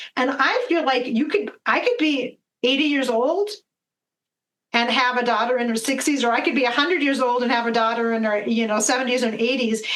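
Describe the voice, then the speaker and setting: A woman speaks at a fairly quick pace with a high pitch, ordinary pitch variation and very even loudness. Audible room echo is present. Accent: American. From US Midwest, Minnesota. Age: 50s. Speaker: medicine woman and spiritual guide. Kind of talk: podcast interview. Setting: video call.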